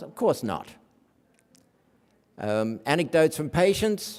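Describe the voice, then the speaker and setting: A man at a moderate pace with an Australian accent. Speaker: academic researcher. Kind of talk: conference lecture.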